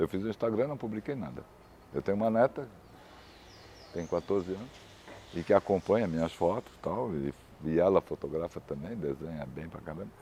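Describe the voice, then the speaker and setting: A dark, mellow tone at a fairly quick pace, with lively intonation, big swings in loudness and long, frequent pauses. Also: man, very deep, low pitch for a man. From Brazil, Florianópolis. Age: 60s. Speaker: photojournalist. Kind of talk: interview.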